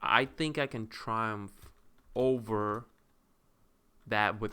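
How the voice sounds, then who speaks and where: A man with a non-native accent, a fairly low pitch and a bright, sharp tone. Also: very clean recording, silent background. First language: not English. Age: 20s. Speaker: content creator. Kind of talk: casual monologue. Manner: halting.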